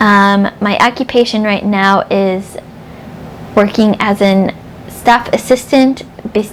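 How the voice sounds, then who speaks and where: With an American accent, a woman talks at a very slow pace and medium pitch, her intonation fairly even, with long, frequent pauses and noticeable background noise. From upstate New York. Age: 30s. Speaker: book vlogger. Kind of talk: casual vlog chat.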